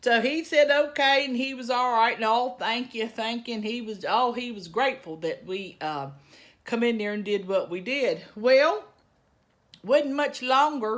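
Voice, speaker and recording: A woman with a strong Southern US accent speaks at a fairly slow pace, high in pitch, with lively intonation and an animated tone. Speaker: lifestyle vlogger. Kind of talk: storytelling.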